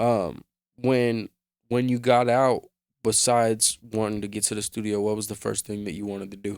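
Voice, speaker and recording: With a plain, everyday voice, a man with an American accent talks at a fairly low pitch and moderate pace, his intonation fairly even and the sound dry and close with no echo. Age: 20s. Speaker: hip-hop interviewer and producer. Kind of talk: interview.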